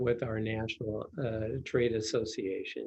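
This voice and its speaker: This man's tone is dark and mellow, and somewhat breathy. He speaks at a very slow pace. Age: 70s. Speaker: pest control company executive. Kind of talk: interview. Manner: halting, many fillers.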